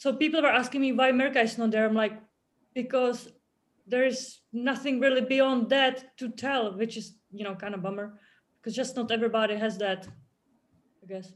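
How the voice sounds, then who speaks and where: A woman with a Czech accent talks at a fairly quick pace in a high voice with fairly even intonation. She leaves long, frequent pauses. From Czech Republic. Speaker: author and former rower. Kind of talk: casual chat. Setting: video call.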